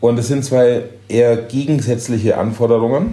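A man's medium-pitched voice at a moderate pace, fairly even in intonation, with audible room echo. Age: 50s. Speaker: chef and hotel owner. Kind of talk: interview.

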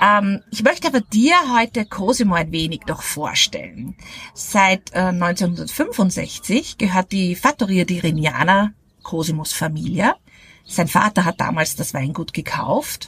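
A woman speaks at a fairly slow pace, her pitch medium and her intonation lively. The sound is dry and close, with no echo. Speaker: wine podcast host. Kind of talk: casual interview. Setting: outdoors at a table by a villa.

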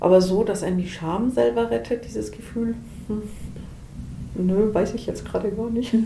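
At a moderate pace and medium pitch, a woman talks with lively intonation and long, frequent pauses, with audible room echo around her. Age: 40s. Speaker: volunteer counselor for visually impaired people. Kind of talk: interview. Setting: in person.

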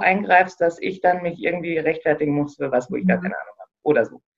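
A woman's voice with ordinary pitch variation. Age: 30s. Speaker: operations manager and self-organization trainer. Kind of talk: interview. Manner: hesitant, many fillers.

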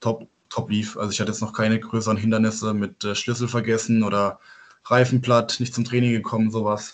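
At a moderate pace, a man speaks at a medium pitch with monotone, flat intonation. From southern Baden, Germany (Gengenbach near Offenburg). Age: 20s. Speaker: handball player. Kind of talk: casual interview. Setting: video call from home. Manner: halting with many fillers.

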